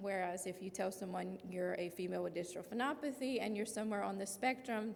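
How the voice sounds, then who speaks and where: A woman with a Louisiana accent talks at a very fast pace. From Louisiana (Lafayette area). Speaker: patient advocate and parent. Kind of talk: presentation.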